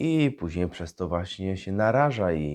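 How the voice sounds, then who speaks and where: A man speaks with a fairly low pitch and very wide pitch swings. The background is quiet. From central Poland, Tomaszów Mazowiecki. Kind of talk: homily.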